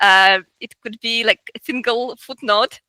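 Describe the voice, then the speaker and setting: A woman speaks very slowly in a Russian accent with a bright, sharp tone. Her intonation is fairly even, and the sound is dry and close with no echo. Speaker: researcher and artist. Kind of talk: interview. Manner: halting, many fillers and repetitions.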